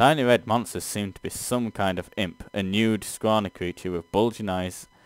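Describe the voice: Text read aloud, plainly.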